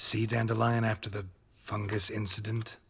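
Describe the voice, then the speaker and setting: A man puts on a raspy character voice at medium pitch. He speaks at a moderate pace in a flat monotone. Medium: video game. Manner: terse, dry.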